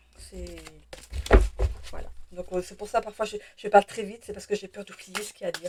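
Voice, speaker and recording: A woman talks very fast at a medium pitch with monotone, flat intonation and long, frequent pauses. Her loudness swings widely over noticeable background noise. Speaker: tarot reader, channel owner. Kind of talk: tarot reading guidance video. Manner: fast at times; hesitant, many fillers and repetitions.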